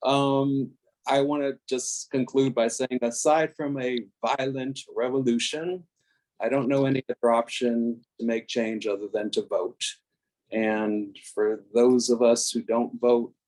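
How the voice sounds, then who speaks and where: In an unremarkable speaking voice, a man with a medium pitch talks at a fairly slow pace, the sound dry and close with no echo. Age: 60s. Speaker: discussion group participant. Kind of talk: group discussion on video call.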